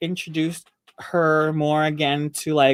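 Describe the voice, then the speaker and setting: This woman speaks at a very slow pace with a Filipino accent. Her pitch is very deep and low. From Philippines. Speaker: dancer and co-host. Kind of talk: casual chat.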